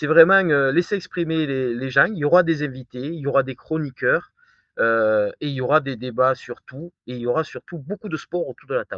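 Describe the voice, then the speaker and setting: A man with a southern French accent speaks at a fairly high pitch and moderate pace, with ordinary pitch variation. His loudness swings a lot. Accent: southern French, sing-song. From southern France. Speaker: firefighter and new show host. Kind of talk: casual interview. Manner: hesitant, many fillers and repetitions.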